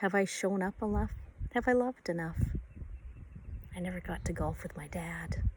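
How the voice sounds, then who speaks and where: Long, frequent pauses break up a woman's speech. Her pace is moderate. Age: 60s. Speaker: writer and poet. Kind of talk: personal reflective monologue. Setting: outdoors by a bay.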